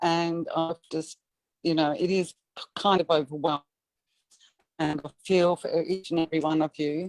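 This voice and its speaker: A woman speaks with an Australian accent at a fairly low pitch. The sound is dry and close, with no echo. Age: 60s. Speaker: welfare recipient giving testimony. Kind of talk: testimony.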